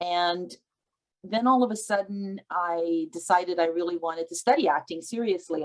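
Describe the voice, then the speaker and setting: A woman talks at a moderate pace in a fairly low pitch with ordinary pitch variation. She has an unremarkable speaking voice. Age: 60s. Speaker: actor and producer. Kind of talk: panel discussion. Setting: video call.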